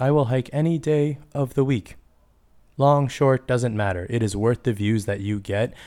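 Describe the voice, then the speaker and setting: In a very clean recording with a silent background, a man with a Canadian accent speaks at a moderate pace with ordinary pitch variation, in an unremarkable speaking voice. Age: 30s. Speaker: podcast host and high school teacher. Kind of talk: casual solo podcast monologue.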